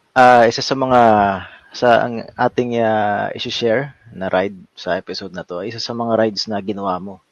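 In an ordinary speaking voice, a man talks at a moderate pace and medium pitch, his intonation fairly even but his loudness swinging widely. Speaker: cycling podcast host. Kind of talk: casual chat.

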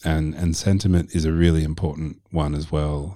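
A man speaks with a very deep, low pitch. His tone is dark and mellow. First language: not Arabic; English. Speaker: marketing agency executive. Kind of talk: casual interview chat.

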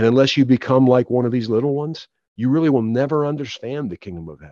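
Delivered at a fairly quick pace in an American accent, the speech shows ordinary pitch variation. The sound is dry and close with no echo, over a quiet background. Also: man. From Philadelphia. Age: 50s. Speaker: author. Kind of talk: testimony. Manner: halting, frequent repetitions.

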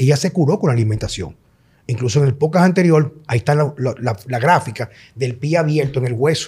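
A man speaks fairly quickly in a fairly high pitch with a dark, mellow, somewhat breathy tone. His pitch variation is ordinary. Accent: Dominican. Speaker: podcast host, health coach. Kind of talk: casual chat.

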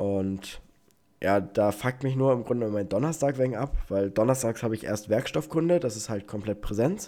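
A man talks at a moderate pace with a medium pitch and ordinary pitch variation. His tone is dark and mellow. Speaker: podcast host, engineering student. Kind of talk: casual chat. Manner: animated, laughing.

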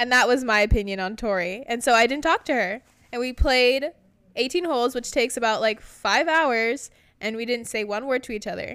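Recorded very cleanly against a silent background, a woman with an American accent and a high pitch speaks at a fairly quick pace with ordinary pitch variation. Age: 20s. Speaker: podcast co-host, former college golfer. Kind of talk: casual chat.

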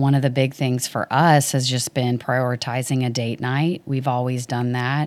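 In a Texan accent, a woman speaks at a moderate pace. Her pitch is very deep and low. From Dallas, Texas. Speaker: worship ministry leader. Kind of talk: interview conversation.

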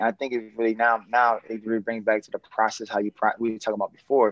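At a fairly quick pace, a man with an American accent speaks at medium pitch, the sound dry and close with no echo. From New Orleans, US South. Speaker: consultant and business developer. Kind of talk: casual interview chat.

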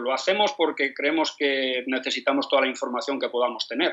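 Bright and sharp in tone, a man's voice moves at a fairly quick speed. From Spain, Madrid. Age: 50s. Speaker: football coach. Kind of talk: interview. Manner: halting, with many repetitions.

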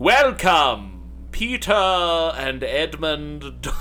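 Clear music plays in the background. Over it, a man delivers a loud, put-on character voice. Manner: loud, theatrical, clearly enunciated.

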